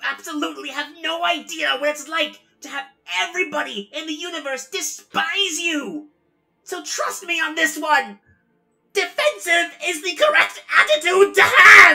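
At a moderate pace, a put-on character voice comes through. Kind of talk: comic-book fan dub acting. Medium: fan dub. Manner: defensive, agitated, shouting.

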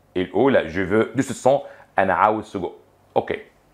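Against a quiet background, a man with an Egyptian accent talks at a fairly quick pace with lively intonation. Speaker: French teacher. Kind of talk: lecture. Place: studio. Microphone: lapel.

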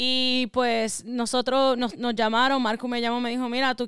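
A woman with a Puerto Rican accent speaks at a high pitch in a monotone, flat intonation, with a dry sound and no echo. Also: quiet background. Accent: sounds Puerto Rican. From US Northeast (Connecticut), Ecuadorian family. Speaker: rapper; podcast guest. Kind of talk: interview. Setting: studio. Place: home room. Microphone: studio mic.

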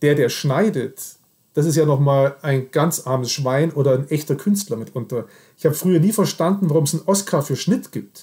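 A man speaks at a moderate pace with a fairly high pitch and ordinary pitch variation. His tone is dark and mellow, and somewhat breathy. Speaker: podcast host. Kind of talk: interview conversation. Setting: Skype video call. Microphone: laptop fan noise, imperfect sound.

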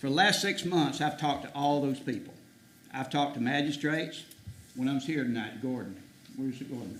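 Talking at a very fast pace with a South Carolina accent, a man's fairly high voice shows ordinary pitch variation amid audible room echo and noticeable background noise. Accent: US Southern (South Carolina). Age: 70s. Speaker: citizen addressing county council. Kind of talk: public comment speech. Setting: county council meeting.

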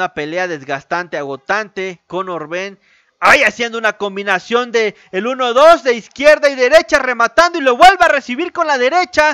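A man with an extremely high pitch uses a raised, projected voice with a bright, sharp tone, very wide pitch swings and a moderate pace over a quiet background. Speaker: boxing commentator. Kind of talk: live boxing commentary, blow-by-blow narration of a fight. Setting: home-style stream narrating a fight broadcast. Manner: informal and chatty, speaking directly to viewers. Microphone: studio mic.

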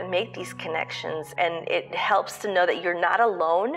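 Someone speaks at a fairly slow pace while music plays in the background. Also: woman. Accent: American. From Pakistan-born, long-time resident of the United States. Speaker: parent of a transgender teenager, speaking as an ally testimonial. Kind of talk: personal testimonial to camera.

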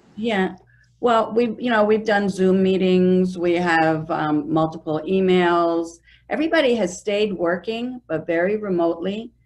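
A woman talks at a moderate pace, her pitch medium with ordinary pitch variation. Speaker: real estate broker. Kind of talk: interview. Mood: friendly, upbeat. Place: office. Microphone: video call.

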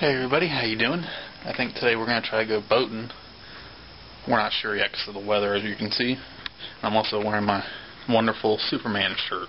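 A man with an American accent and a medium pitch talks at a very fast pace yet with long, frequent pauses, showing ordinary pitch variation over noticeable background noise. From Florida. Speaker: vlogger. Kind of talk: casual vlog. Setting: outdoors, handheld camera.

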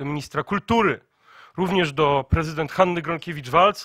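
A man's high, bright, sharp voice at a fairly quick pace with ordinary pitch variation, dry with no echo over a quiet background. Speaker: youth organization press spokesman. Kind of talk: press conference statement. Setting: press conference. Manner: formal, emphatic. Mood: firm, defiant. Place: meeting room. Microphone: podium.

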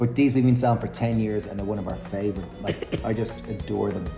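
A man's fairly low voice at a fairly quick pace, with fairly even intonation over faint music in the background. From Ireland. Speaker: vegan food vlogger. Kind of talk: casual talk to camera. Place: cafe. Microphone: phone near.

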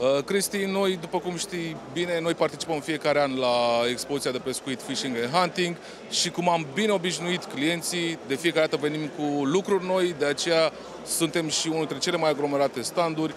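Noticeable background noise sits beneath a man talking at a moderate pace with fairly even intonation, the sound dry with no echo. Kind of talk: interview answer. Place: hall. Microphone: handheld.

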